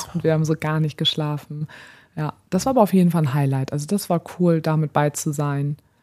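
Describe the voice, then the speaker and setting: A woman talks at a fairly quick pace in a very deep, low pitch with ordinary pitch variation and a dark, mellow tone. The sound is dry and close with no echo. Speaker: podcast co-host. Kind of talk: casual chat.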